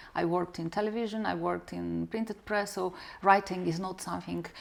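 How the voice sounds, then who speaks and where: A woman speaks with a Romanian accent. Her pace is fairly quick. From Moldova. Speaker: novelist, former journalist. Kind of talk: interview.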